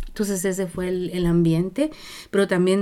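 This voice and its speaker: With a Guatemalan accent, a woman speaks in a dark, mellow tone at a fairly low pitch, on a very clean recording with a silent background. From Guatemala, Zacapa region. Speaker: activist musician and family counsellor. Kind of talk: interview, personal life story. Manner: halting, many fillers and restarts.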